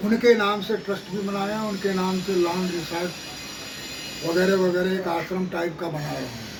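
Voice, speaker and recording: Noticeable background noise and audible room echo surround a man's voice. He speaks at a moderate pace with a high pitch. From Varanasi, eastern Uttar Pradesh. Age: 60s. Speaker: martial arts coach. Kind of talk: interview.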